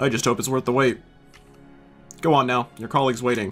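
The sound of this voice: A man puts on a character voice at a medium pitch and a fairly quick pace. His intonation stays fairly even over faint background music.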